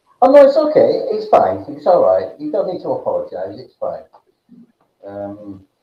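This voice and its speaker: A man's loudness swings a lot amid audible room echo. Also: moderate pace. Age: 50s. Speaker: livestream host. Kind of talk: casual chat. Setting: live video call. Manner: halting.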